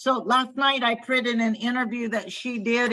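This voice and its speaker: This woman has a fairly high pitch and a bright, sharp tone. She speaks at a fairly slow pace with an American accent. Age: 60s. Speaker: daughter of a wartime factory worker. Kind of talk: interview on video call. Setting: video call. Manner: halting, many fillers.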